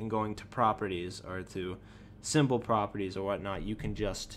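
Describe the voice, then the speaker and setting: A man speaks at a moderate pace with a fairly low pitch and vocal fry. The recording is very clean, with a silent background. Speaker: animation tutorial youtuber. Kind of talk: screen-recorded tutorial. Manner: halting, stuttering; casual, filler-heavy.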